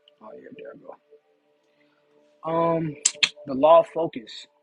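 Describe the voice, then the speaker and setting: Over music in the background, a man with a high pitch speaks with big swings in loudness and long, frequent pauses. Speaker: spiritual teacher. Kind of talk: lecture. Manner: fast; animated.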